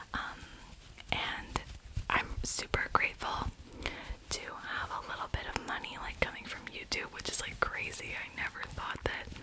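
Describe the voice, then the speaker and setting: A whispering voice moves at a moderate pace, with noticeable background noise behind it. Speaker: ASMR creator, university student. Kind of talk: ASMR whisper ramble. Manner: whispered; casual, chatty.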